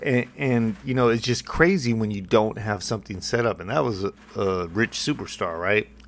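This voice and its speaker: A man with an ordinary speaking voice talks at a moderate pace in a fairly low pitch with ordinary pitch variation. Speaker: podcast host. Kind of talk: motivational monologue. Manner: casual, conversational with frequent fillers.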